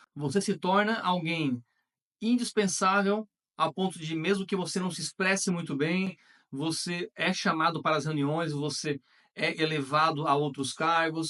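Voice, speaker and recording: A man's high-pitched voice, bright and sharp in tone, with ordinary pitch variation at a fairly slow pace. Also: dry, close sound with no echo. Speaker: online content creator. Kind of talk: motivational talk to camera.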